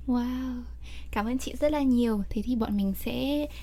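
Fairly slow female speech, room echo audible. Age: young. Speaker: podcast host. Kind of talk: interview.

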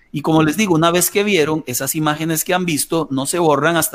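A man speaks in an unremarkable speaking voice. His pitch is fairly high, with ordinary pitch variation. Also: very clean recording, silent background. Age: 40s. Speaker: pastor. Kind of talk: radio interview.

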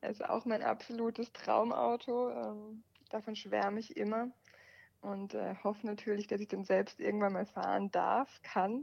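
A woman's unremarkable speaking voice, fairly high in pitch, with fairly even intonation at a fairly slow pace. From Baden, southwest Germany (Offenburg). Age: 20s. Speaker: car journalist. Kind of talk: interview. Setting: phone call.

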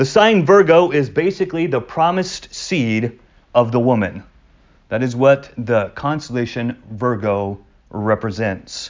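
A man talks at a fairly slow pace in a medium pitch. It is an unremarkable speaking voice. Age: 40s. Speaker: pastor. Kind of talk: Bible study teaching.

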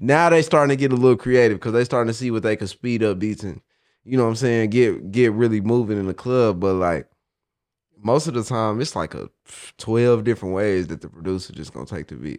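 An ordinary speaking voice with an American accent comes at a fairly quick pace with big swings in loudness against a quiet background. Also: man, medium pitch for a man, ordinary pitch variation. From Oklahoma. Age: 20s. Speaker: independent rapper. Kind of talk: casual interview chat.

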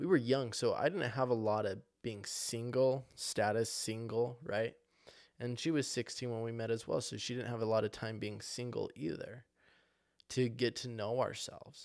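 On a very clean recording with a silent background, a man speaks at a moderate pace and medium pitch with fairly even intonation in an ordinary speaking voice. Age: 20s. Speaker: podcast host. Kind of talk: motivational monologue.

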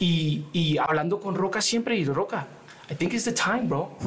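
A man's high-pitched voice comes through with noticeable background noise behind it. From New York and Colombia. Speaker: rapper. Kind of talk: casual chat.

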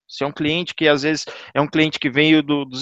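This man has a normal speaking voice with a fairly high pitch and a moderate pace. The sound is dry and close with no echo, over a quiet background. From Goiânia, Brazil. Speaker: DevOps engineer. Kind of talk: casual group discussion.

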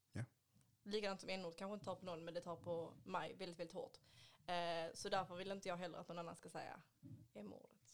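A woman speaks very fast in a fairly low voice, with ordinary pitch variation. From Sweden, Ystad (Skåne). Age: 20s. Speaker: beauty industry worker, adoptee. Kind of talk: casual chat.

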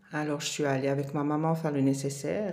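A woman with a very deep, low pitch and a dark, mellow tone speaks with fairly even intonation amid audible room echo. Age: 50s. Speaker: mother sharing her life story. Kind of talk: interview testimony.

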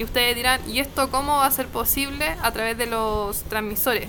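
A woman speaks in a high pitch with a Chilean accent and fairly even intonation. Noticeable background noise runs behind her. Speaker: podcast co-host, psychology student. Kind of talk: casual chat. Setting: at home.

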